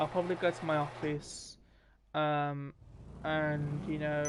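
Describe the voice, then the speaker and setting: The speaker talks at a fairly slow pace in a British accent. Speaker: gaming live streamer. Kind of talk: casual live stream commentary. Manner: hesitant, many fillers.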